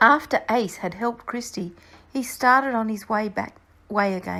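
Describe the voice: The delivery is plain reading aloud, with ordinary pitch variation.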